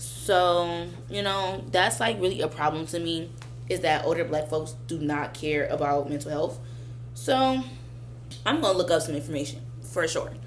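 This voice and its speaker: A woman speaks with an American accent at a moderate pace. Some room echo can be heard. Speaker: vlogger. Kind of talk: casual monologue.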